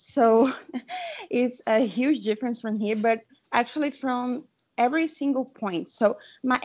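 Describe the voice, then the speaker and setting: A woman's high voice with a Brazilian accent, at a fairly slow pace, broken by long, frequent pauses. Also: ordinary pitch variation. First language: Portuguese. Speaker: webinar participant. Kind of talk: question from audience. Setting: video call. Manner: halting.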